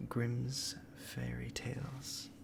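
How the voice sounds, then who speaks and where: A man speaks softly at a medium pitch. His voice is somewhat breathy. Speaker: storyteller. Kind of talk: ASMR intro talk to listener. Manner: soft-spoken.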